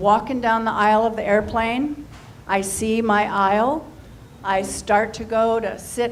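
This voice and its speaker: There is audible room echo as a woman speaks at a very slow pace. Her pitch is fairly high. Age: 60s. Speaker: stand-up comedian. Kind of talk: stand-up.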